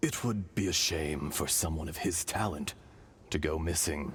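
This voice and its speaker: A man's put-on character voice, very deep and low in pitch, over clear background noise. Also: moderate pace. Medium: video game. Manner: measured, solemn.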